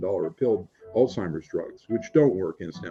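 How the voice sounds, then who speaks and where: Music can be heard behind the speaker. The man keeps a moderate pace. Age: 60s. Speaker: retired physician and author. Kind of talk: interview. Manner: halting.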